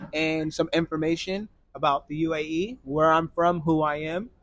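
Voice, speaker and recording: A man with a fairly high pitch speaks with a Virginia accent. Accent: American, Virginia. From US South, Virginia Beach, Virginia. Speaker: expat interviewee, videographer. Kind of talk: casual interview.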